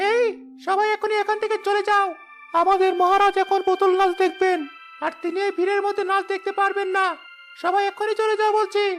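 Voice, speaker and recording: A cartoonish character voice at a fairly quick pace, with clear music in the background. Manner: sly, giggling, flattering.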